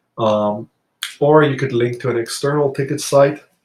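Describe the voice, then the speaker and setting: At a fairly slow pace, a man talks in a somewhat breathy voice with fairly even intonation. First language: not English. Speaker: software tutorial presenter. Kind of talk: tutorial. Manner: hesitant, frequent fillers.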